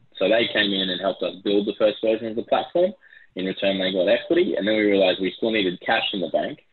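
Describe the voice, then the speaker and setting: A very fast-talking man with an Australian accent. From Brisbane, Australia. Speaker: tech company CEO. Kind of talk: interview.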